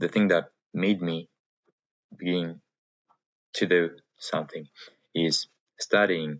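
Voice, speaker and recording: A man with a Russian accent speaks at a fairly slow pace, leaving long, frequent pauses. His pitch is very deep and low, and his intonation stays monotone and flat. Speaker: vlogger. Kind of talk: personal vlog monologue. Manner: halting, many fillers and pauses.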